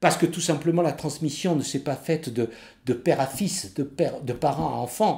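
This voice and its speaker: Somewhat breathy man's voice, fairly high in pitch with a dark, mellow tone, moderate pace and ordinary pitch variation, on a very clean recording with a silent background. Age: 70s. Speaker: Corsican language teacher. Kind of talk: interview testimony.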